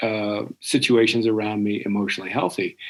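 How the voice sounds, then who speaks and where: An ordinary speaking voice keeps to a moderate pace. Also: man. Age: 60s. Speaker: career coach. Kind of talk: podcast discussion.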